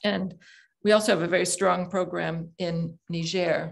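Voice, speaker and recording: Fairly slow speech from a woman at medium pitch with vocal fry, against a quiet background. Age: 70s. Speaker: nonprofit co-founder, guest speaker. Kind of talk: presentation at club meeting. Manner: hesitant, many fillers.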